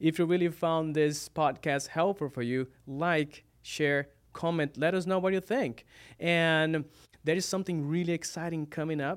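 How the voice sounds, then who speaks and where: Recorded very cleanly against a silent background, a man with a Brazilian accent speaks at a moderate pace in a fairly high pitch with fairly even intonation. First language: Portuguese. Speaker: online pastor. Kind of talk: casual chat. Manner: halting.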